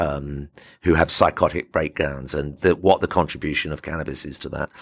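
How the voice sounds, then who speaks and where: Bright, sharp tone with vocal fry, in a very clean recording with a silent background. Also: man. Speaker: podcast host, medical doctor. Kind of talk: casual chat; news commentary. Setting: studio.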